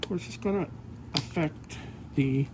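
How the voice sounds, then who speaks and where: A man's calm voice with very wide pitch swings at a moderate pace, over noticeable background noise. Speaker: ASMR creator. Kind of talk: ASMR gift-wrapping demonstration. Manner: soft-spoken, calm.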